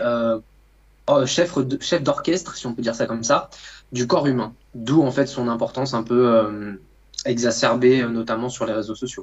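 A man talks at a fairly slow pace in a plain, everyday voice. His pitch is medium, with ordinary variation. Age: 20s. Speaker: nutritionist and coach. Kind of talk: casual chat.

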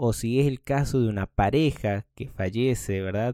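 In a Rioplatense accent, a man talks at a moderate pace with a medium pitch and a dark, mellow tone. His intonation is fairly even, and the sound is dry and close with no echo. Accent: Rioplatense Spanish (voseo, 'che'). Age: 30s. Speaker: podcast host. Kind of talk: casual monologue.

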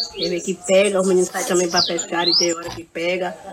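With noticeable background noise behind her, a woman speaks at a medium pitch. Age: 70s. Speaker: retired fisherwoman. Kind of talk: casual interview.

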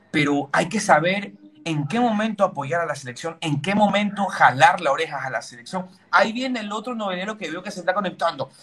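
Noticeable background noise sits under a man whose voice is high in pitch, whose pitch varies in an ordinary way, and whose delivery is fairly quick. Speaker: football pundit. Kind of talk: casual chat. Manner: animated.

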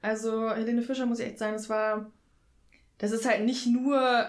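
With monotone, flat intonation, a woman speaks at a fairly high pitch and a moderate pace. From rural Germany. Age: 20s. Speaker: podcast guest, concertgoer. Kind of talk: casual chat.

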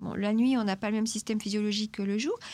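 Somewhat breathy, a woman speaks at a fairly high pitch. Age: 50s. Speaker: nutritionist. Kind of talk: expert interview answering questions.

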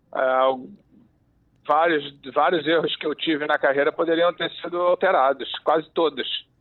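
A man with a fairly high pitch talks at a fairly slow pace, keeping his intonation fairly even. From Rio de Janeiro, Brazil. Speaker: former football referee, refereeing commentator. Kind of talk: interview.

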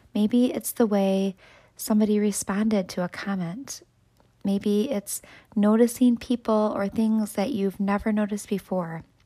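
In a very clean recording with a silent background, a woman with an American accent speaks at a medium pitch in a dark, mellow, warm tone with fairly even intonation. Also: moderate pace. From West Michigan. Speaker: school staff member and podcaster. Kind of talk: reflective motivational monologue. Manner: warm, encouraging.

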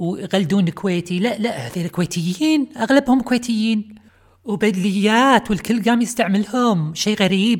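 Somewhat breathy, a woman speaks fairly slowly in a Kuwaiti accent with ordinary pitch variation. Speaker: podcast host. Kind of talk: comedic monologue. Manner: animated.

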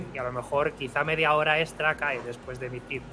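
Speaking at a fairly quick pace, a man with a fairly high pitch keeps a monotone, flat intonation. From Spain, Madrid. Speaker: software developer and content creator. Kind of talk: casual chat.

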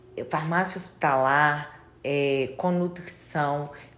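Audible room echo surrounds a woman speaking at a very slow pace in a very deep, low pitch. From Minas Gerais, Brazil (Itabira area, Belo Horizonte). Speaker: pharmacist. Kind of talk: interview.

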